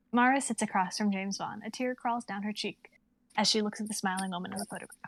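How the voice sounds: A woman talks at a fast pace with ordinary pitch variation. The sound is dry and close, with no echo. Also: medium pitch for a woman.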